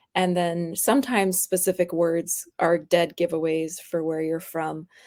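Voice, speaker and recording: A woman with an American accent speaks at a fairly low pitch with fairly even intonation, on a very clean recording with a silent background. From Florida, US. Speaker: graphic artist. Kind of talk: interview.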